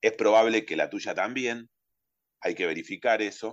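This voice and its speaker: The sound is dry and close, with no echo. In it, a man talks at a fairly quick speed. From Argentina, Carmen de Patagones (Buenos Aires province). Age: 40s. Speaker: human rights testimony guest, restored grandchild's brother. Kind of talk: personal testimony. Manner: halting, many fillers and repetitions.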